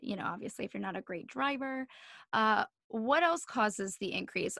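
A woman's high, bright, sharp voice with an American accent, at a fairly quick pace, dry with no echo against a quiet background. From New Jersey. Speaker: podcast host. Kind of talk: casual interview. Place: home room. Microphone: studio mic.

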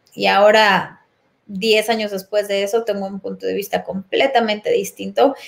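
A woman is speaking. Her pitch is medium. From Mexico City. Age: 40s. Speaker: personal development facilitator. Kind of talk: casual interview. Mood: calm, reflective. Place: home room. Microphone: webcam.

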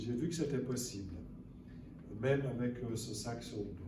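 Noticeable noise sits in the background. A man talks at a fairly slow pace. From Lower Valais, Switzerland. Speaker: conference speaker and author. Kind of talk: lecture. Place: hall. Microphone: camera far.

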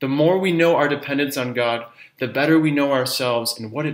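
Against a quiet background, a man's pitch varies in an ordinary way. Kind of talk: spiritual talk. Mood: calm, warm, earnest. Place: home room.

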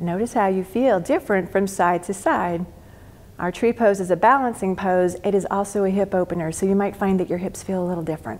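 Using a gentle tone, a woman speaks at a fairly quick pace and medium pitch with ordinary pitch variation. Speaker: yoga teacher. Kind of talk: guided yoga class instruction. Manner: gentle, encouraging, instructional.

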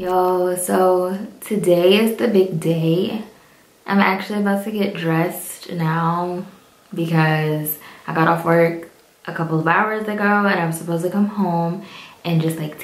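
A woman at a fairly low pitch with fairly even intonation and a fairly slow pace, in audible room echo. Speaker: vlogger. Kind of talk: casual vlog chat. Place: bathroom. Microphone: phone near.

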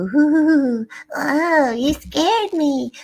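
A high-pitched, put-on character voice. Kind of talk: casual livestream Q&A chat. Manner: startled, cute, spooky-playful. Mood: amused, playful surprise.

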